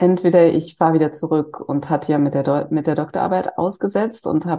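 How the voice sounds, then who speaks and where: A woman speaks at a fairly quick pace in a fairly low pitch with a dark, mellow tone. Her pitch varies in an ordinary way, and the background is quiet. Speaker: psychiatrist. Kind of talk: interview.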